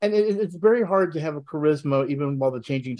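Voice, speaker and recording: The voice races along at a very fast pace over a quiet background. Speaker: wrestling podcast panelist. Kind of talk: casual chat. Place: home room. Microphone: video call.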